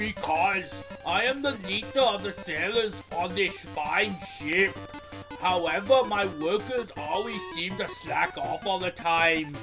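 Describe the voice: A put-on character voice moves at a slow pace with a bright, sharp tone and ordinary pitch variation. Faint music plays in the background. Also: man, high pitch for a man.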